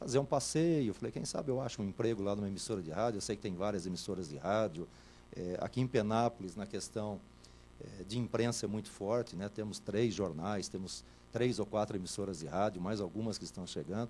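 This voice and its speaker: A man talks at a fairly quick pace with a fairly low pitch and lively intonation. His tone is dark and mellow, with some vocal fry. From São Paulo interior (Itatiba). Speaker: radio host. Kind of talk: interview. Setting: TV studio.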